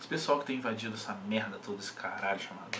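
This man's pitch varies in an ordinary way, with noticeable background noise behind him. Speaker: bodybuilding coach. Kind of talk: casual vlog chat. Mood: irritated, ranting. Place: home room. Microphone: webcam.

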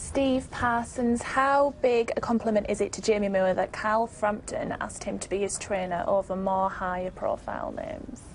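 A woman talks at a moderate pace with hardly any pauses. Noticeable noise sits in the background. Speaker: sports podcast host. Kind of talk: casual chat. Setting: studio.

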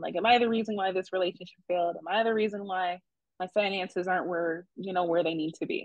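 A very fast delivery with an American accent, fairly even intonation, a quiet background, and a dry sound with no echo. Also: woman. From Rockford, Illinois; Illinois. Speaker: mental health counselor; interviewee. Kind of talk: interview. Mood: reflective, conversational. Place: home room. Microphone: video call.

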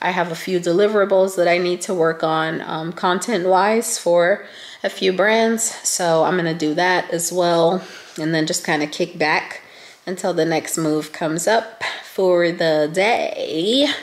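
A woman speaks with a raspy voice and few pauses. Her intonation stays fairly even, and the room echo is audible. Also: fairly low pitch for a woman, fairly slow pace.

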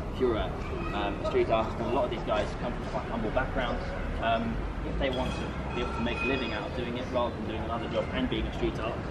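Over loud background noise, a man talks at a very fast pace. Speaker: street art tour guide. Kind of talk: tour guide explanation. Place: street. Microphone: camera far.

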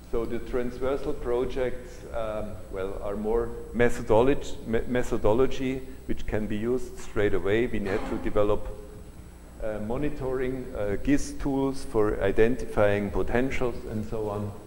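A man with a German accent at a fairly slow pace. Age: 60s. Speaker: solar energy researcher. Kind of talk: lecture. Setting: lecture hall with audience.

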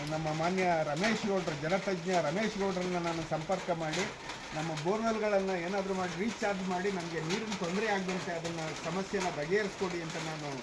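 A high-pitched man with fairly even intonation, amid noticeable background noise and audible room echo. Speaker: farmer and retired education officer. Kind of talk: interview.

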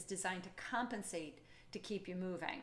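Speaking at a fairly quick pace, a woman uses a medium pitch. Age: 50s. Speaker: fitness educator and method founder; fitness educator. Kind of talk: webinar presentation. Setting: live online webinar. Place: home room. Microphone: studio mic.

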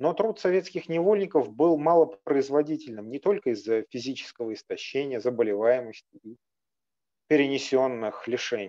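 Fairly high male voice with a dark, mellow tone, lively intonation, big swings in loudness, and a moderate pace, set against a quiet background. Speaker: historian; history lecturer. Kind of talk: lecture. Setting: video call. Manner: formal. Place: home room. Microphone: webcam.

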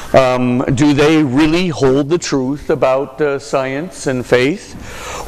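There is noticeable background noise behind this man. His voice sits at a fairly high pitch. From Hawaii, US (Honolulu). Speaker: Jesuit priest and university lecturer. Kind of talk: lecture.

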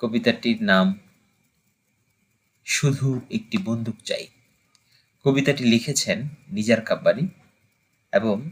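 A man talks in a fairly high, somewhat breathy voice. His pitch swings very widely. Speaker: amateur poetry reciter. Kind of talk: greeting and introduction to viewers.

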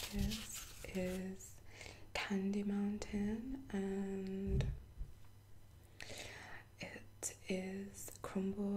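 A soft-spoken woman is whispering over noticeable background noise. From UK. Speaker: ASMR creator. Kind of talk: ASMR unboxing, soft-spoken talk to camera. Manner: soft-spoken, whispery. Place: home room. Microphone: webcam.

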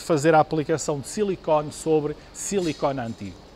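The speech runs at a moderate pace with ordinary pitch variation against light background noise. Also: man. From Portugal. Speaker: product representative. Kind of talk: product demonstration. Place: shop. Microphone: lapel.

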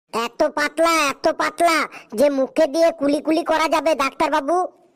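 Pitched high, a cartoonish character voice speaks at a moderate pace.

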